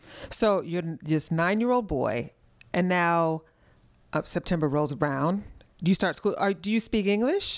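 A woman with an ordinary speaking voice talks at a fairly low pitch and a moderate pace, with ordinary pitch variation and very even loudness. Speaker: podcast co-host. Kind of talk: casual interview.

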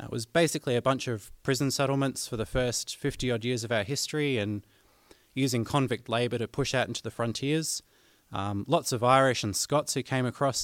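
A man with an Australian accent talks at a fairly quick pace and a medium pitch. The recording is very clean with a silent background and a dry, close sound with no echo. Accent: Australian, noticeable twang. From southern Australia. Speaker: banjo player, guest host. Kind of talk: educational talk on music theory.

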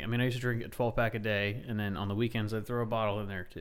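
There is audible room echo. A man talks at a very fast pace. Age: 30s. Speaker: military veteran. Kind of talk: casual chat.

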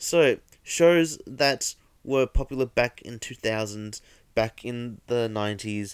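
A man with an Australian accent talks at a very slow pace and medium pitch, with ordinary pitch variation. His loudness swings widely, and the sound is dry and close with no echo. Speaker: podcast host. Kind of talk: casual monologue.

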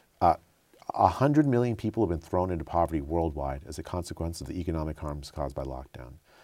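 A man speaks at a very fast pace with a very deep, low pitch, vocal fry, and a dark, mellow tone. His intonation is lively, and his loudness swings widely. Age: 50s. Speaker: professor of health policy and physician. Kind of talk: interview. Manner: halting, frequent repetitions.

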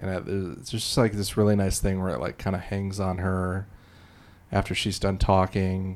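The speaker has an American accent and fairly even intonation. It's a very clean recording with a silent background. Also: man, very deep, low pitch for a man, moderate pace. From Illinois. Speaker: TV research director and comedian. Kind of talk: casual chat about movies.

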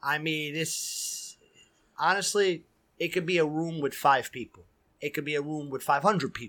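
In a New York accent, a man with a fairly high pitch speaks at a moderate pace, using a bright, sharp tone and ordinary pitch variation. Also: very clean recording, silent background. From New York City (Queens, Astoria). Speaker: DJ. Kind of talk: casual chat. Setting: studio.

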